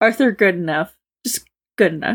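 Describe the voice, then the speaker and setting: A woman's voice with very wide pitch swings. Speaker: co-reader guest. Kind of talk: casual chat, reading and discussing a story.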